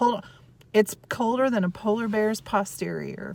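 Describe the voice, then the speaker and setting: Speaking at a moderate pace with an American accent, a woman is heard over noticeable background noise. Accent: Southern, comes out when extreme. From US South. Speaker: lifestyle vlogger. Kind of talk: casual vlog chat. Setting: in a store. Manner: quiet in store.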